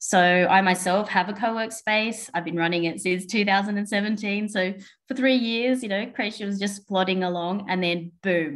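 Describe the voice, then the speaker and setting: With an Australian accent, a woman at a medium pitch talks at a moderate pace with fairly even intonation and hardly any pauses. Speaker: co-working space owner, conference speaker. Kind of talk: webinar presentation. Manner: hesitant, many fillers.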